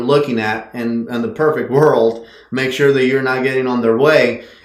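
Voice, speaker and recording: With noticeable background noise and audible room echo, a man at a medium pitch speaks at a moderate pace in a monotone, flat intonation. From Mexico. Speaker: horse trainer. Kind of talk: interview.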